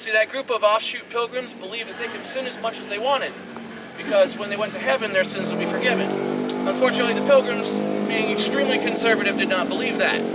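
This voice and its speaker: This man speaks at a very fast pace in a high voice. Noticeable background noise runs behind him. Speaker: tour guide. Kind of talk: guided tour talk. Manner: loud; animated.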